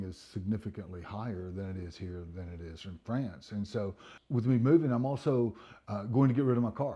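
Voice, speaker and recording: A man talks at a fairly quick pace with an American accent. His voice is somewhat breathy and dark and mellow in tone, over a quiet background. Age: 60s. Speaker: retirement vlogger. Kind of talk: casual vlog monologue. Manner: hesitant, with repeated words.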